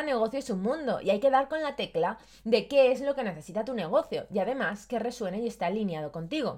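The woman's pitch is high and her intonation lively. She speaks at a moderate pace. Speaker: personal branding podcast host. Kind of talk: solo podcast monologue, scripted advice.

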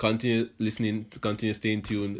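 A man speaks at a moderate pace in a fairly low pitch. The recording is very clean, with a silent background. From Jamaica, Portmore. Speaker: podcast host, university student. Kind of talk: casual monologue.

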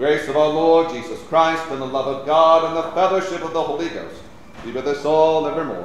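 Over noticeable background noise, a man with a fairly high voice talks at a fairly quick pace in a flat monotone. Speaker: priest leading an Anglican service. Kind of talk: liturgical prayer and scripture reading, Book of Common Prayer service. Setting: church. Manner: solemn, fervent, intoned with a pleading urgency; formal, measured and reverent.

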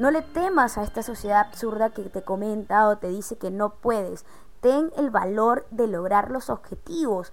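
Over background music, a woman with a fairly high pitch talks at a fairly slow pace with lively intonation. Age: 20s. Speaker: podcast host. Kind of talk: casual chat.

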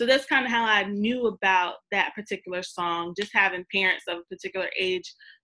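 A woman speaks fairly quickly at a medium pitch, her tone bright and sharp. Her pitch varies in an ordinary way, and the sound is dry and close with no echo. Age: 30s. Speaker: podcast host. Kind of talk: casual chat.

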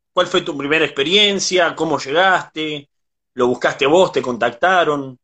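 Speaking in a Rioplatense accent, a man uses lively intonation at a fairly high pitch and a moderate pace. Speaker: interviewer. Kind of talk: interview.

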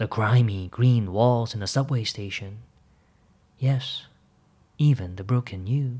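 A somewhat breathy man at medium pitch and a very slow pace, with ordinary pitch variation, in a very clean recording against a silent background. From Hong Kong and Toronto, Canada. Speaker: podcaster. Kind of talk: reading aloud. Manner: reflective.

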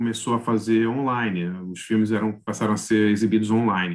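This is a man with a normal speaking voice. He talks fairly fast at a fairly low pitch. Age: 50s. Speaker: journalist and film critic. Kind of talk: casual chat.

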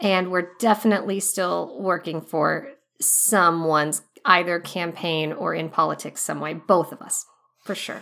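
The pace is moderate. It is an ordinary speaking voice. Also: woman. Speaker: cast member. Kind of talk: casual group chat.

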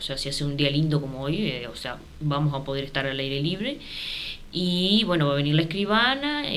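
There is audible room echo as a woman with a very deep, low pitch speaks at a moderate pace. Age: 30s. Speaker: housing cooperative president. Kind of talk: radio interview.

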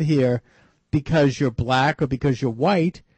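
At a moderate pace, a man speaks with ordinary pitch variation and a somewhat breathy quality. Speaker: radio talk show host. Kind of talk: call-in talk radio interview. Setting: radio studio. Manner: hesitant, many uh fillers.

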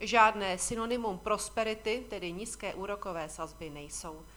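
A woman's medium-pitched, unremarkable speaking voice at a moderate pace, with ordinary pitch variation. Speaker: financial market commentator. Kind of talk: scripted market commentary. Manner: formal.

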